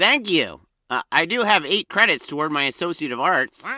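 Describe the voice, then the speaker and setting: Doing a put-on character voice, a man sounds nervous, with a high pitch, lively intonation and a moderate pace, in a dry, close sound with no echo. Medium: audio drama. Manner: nervous, bumbling.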